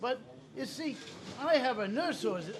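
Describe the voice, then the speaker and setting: Against noticeable background noise, a man talks at a fairly slow pace with very wide pitch swings. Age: 50s. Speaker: restaurant customer. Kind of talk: casual chat. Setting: restaurant. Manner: halting, repetitive.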